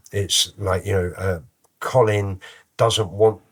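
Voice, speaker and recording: A man with a London accent speaks at a moderate pace in a fairly low, somewhat breathy voice with monotone, flat intonation, on a very clean recording with a silent background. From London, Islington (Holloway). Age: 50s. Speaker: musician and rapper. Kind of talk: interview conversation. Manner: casual, relaxed.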